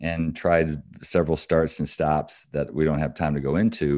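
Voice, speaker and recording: In a Midwestern American accent, a man with a very deep, low pitch and a dark, mellow tone speaks at a moderate pace against a quiet background. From Michigan, US Midwest. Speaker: business executive and author. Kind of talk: interview.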